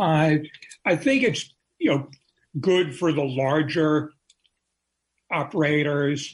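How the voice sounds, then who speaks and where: A somewhat breathy man speaks at a fairly high pitch with fairly even intonation and very even loudness. His pace is very slow, with long, frequent pauses. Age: 60s. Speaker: drug policy journalist. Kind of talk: radio interview. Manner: hesitant, many fillers.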